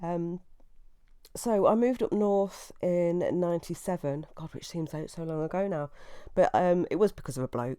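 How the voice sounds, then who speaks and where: Recorded very cleanly against a silent background, a woman with an East Midlands accent speaks at a moderate pace, fairly low in pitch with a dark, mellow tone, ordinary pitch variation and big swings in loudness. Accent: English Midlands (Leicester). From England, Leicester. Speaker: podcast host. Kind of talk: casual monologue. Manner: hesitant, many fillers.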